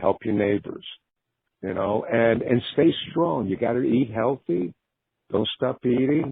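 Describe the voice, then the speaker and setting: At a fairly slow pace, a man talks with ordinary pitch variation. His is a plain, everyday voice. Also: medium pitch for a man. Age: 60s. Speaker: rock guitarist. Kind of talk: casual chat.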